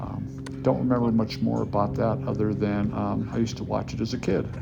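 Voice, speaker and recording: Music plays behind a man with an American accent. His very deep, low voice moves in very wide pitch swings. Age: 70s. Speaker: fitness enthusiast. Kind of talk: casual talk to camera.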